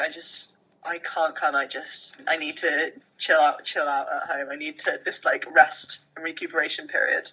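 The speaker is a woman. She talks neither fast nor slow. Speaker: podcast co-host. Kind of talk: casual chat. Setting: phone recording.

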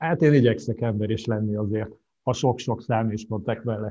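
A plain, everyday voice keeps fairly even intonation at a moderate pace. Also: man. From Hungary. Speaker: financial planner. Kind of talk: casual interview.

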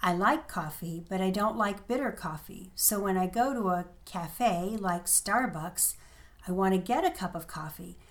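This woman has an ordinary speaking voice, medium pitch, ordinary pitch variation and a moderate pace. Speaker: friend of host, native speaker guest. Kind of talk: casual conversation, explaining words.

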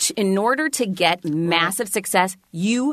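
A woman speaks at medium pitch and a fairly slow pace with lively intonation over a quiet background. She has a plain, everyday voice. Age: 40s. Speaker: author and keynote speaker. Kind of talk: casual chat.

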